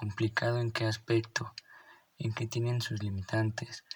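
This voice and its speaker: Somewhat breathy, a man with a Mexican accent speaks at a medium pitch and a fairly slow pace. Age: 20s. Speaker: real estate podcaster. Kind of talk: solo podcast explainer. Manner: hesitant with repetitions.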